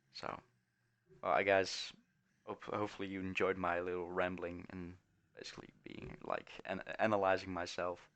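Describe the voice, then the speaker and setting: Delivered at a moderate pace, the speech has monotone, flat intonation, big swings in loudness and long, frequent pauses. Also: man, very deep, low pitch for a man. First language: not English. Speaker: gaming streamer. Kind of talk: gameplay commentary. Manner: halting.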